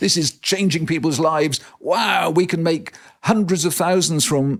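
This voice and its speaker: At a fairly slow pace, a man speaks in a high voice with very even loudness. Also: ordinary pitch variation. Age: 70s. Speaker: entrepreneur and education reformer. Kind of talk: podcast interview. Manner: halting with repetitions.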